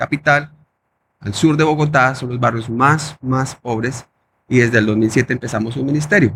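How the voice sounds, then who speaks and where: Somewhat breathy, a man speaks at a moderate pace. His pitch is medium, with ordinary variation. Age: 30s. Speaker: pastor. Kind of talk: testimony. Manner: halting.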